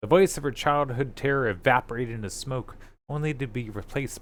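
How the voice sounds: The recording presents a natural reading voice.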